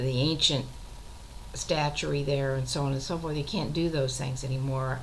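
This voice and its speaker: Her very deep, low voice stays monotone and flat, and audible room echo surrounds this woman. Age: 60s. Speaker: retired teacher and author keeping a web journal. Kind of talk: casual monologue video journal.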